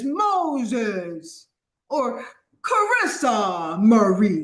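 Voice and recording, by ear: A put-on character voice booms at a fairly high pitch and a very slow pace, with very wide pitch swings and audible echo.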